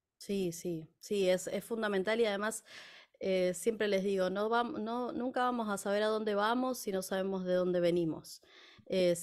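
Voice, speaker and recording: A woman at a moderate pace, fairly even intonation, and a quiet background. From Argentina, La Plata. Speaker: folk singer and music teacher. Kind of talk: interview. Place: home room. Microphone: studio mic.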